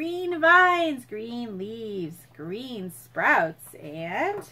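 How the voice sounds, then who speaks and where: In a raised, projected voice with a bright, sharp tone, the speaker talks at a very slow pace with very wide pitch swings. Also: woman. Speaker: teacher reading to children. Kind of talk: children's story reading. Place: home room. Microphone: phone near.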